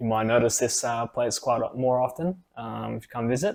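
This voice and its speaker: A man's medium-pitched voice in an Australian accent, at a fairly quick pace. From Australia (from Ukraine at six). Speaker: IT professional, podcast co-host. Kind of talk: casual chat.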